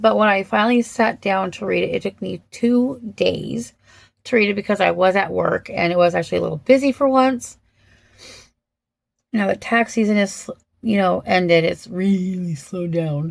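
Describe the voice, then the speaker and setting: A woman's normal speaking voice, medium in pitch, at a moderate pace. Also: ordinary pitch variation. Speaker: book reviewer. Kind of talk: casual book review. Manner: casual, with frequent fillers.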